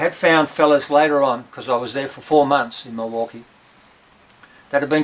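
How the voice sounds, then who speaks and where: A man's fairly high voice moves at a moderate pace while background noise remains noticeable. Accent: Australian. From Tasmania, Australia. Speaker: rock musician and farmer. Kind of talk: storytelling.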